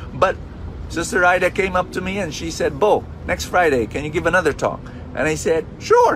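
Moderately paced male speech over clearly audible background noise. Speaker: preacher. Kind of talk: sermon.

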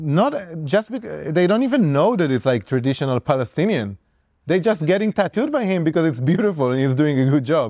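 A man talks at a fairly quick pace with a fairly high pitch. His tone is dark and mellow, with very wide pitch swings. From Israel. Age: 30s. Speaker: tattoo artist. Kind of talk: casual interview.

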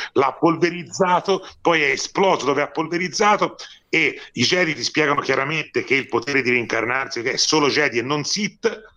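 A man's voice is fairly high, with a bright, sharp tone. He speaks in an animated tone with lively intonation. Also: moderate pace. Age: 40s. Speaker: film critic. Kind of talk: casual chat. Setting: remote call.

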